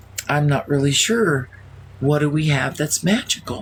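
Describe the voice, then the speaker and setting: A woman does a put-on character voice with a very deep, low pitch against clear background noise. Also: moderate pace. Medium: game stream.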